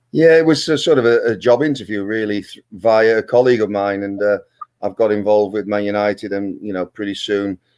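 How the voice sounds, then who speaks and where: Speaking fairly quickly in a Dutch accent, a man shows big swings in loudness, recorded very cleanly over a silent background. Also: fairly low pitch for a man, ordinary pitch variation. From Netherlands. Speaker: football manager and former pro player. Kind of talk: interview. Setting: live stream.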